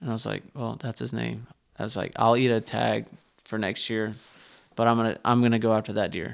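A man with a Texan accent, medium-pitched, flat and monotone, at a fairly quick pace. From Northeast Texas, Terrell. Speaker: bowhunter. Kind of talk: casual interview. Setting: studio.

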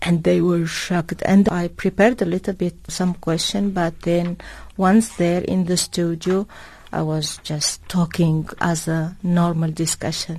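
Flat and monotone, a woman speaks in a somewhat breathy, fairly low voice. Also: fairly slow pace. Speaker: diplomat. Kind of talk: radio interview. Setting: studio. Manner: halting.

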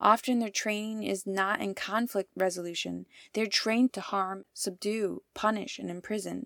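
The delivery is monotone and flat, at a moderate pace with hardly any pauses. The recording is very clean, with a silent background. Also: woman, medium pitch for a woman. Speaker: radio contributor. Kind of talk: scripted narration. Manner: impassioned.

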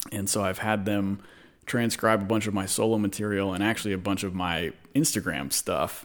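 A man with an American accent talks at a fairly quick pace in a plain, everyday voice. His pitch sits fairly low, the intonation stays fairly even, and the recording is very clean with a silent background. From Dallas–Fort Worth, Texas. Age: 30s. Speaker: guitarist. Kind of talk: casual chat. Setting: home studio.

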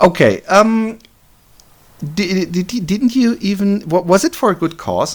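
A man speaks with a German accent. His pace is fairly slow. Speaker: podcast host. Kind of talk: interview. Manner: halting.

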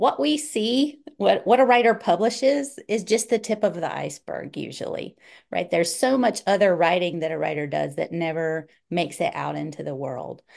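With vocal fry at a medium pitch, a woman talks at a moderate pace against a quiet background. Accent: Southern US. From North Carolina, US South. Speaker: author and writing professor. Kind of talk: casual interview chat.

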